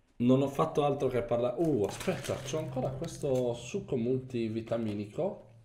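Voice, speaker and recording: A dark, mellow, somewhat breathy voice talks at a moderate pace with ordinary pitch variation and hardly any pauses. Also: man, medium pitch for a man. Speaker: gaming youtuber. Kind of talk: gameplay commentary. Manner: animated.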